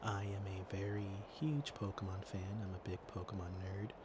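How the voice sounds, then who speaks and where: A soft-spoken man talks in a somewhat breathy voice. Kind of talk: ASMR ramble, casual chat to listener.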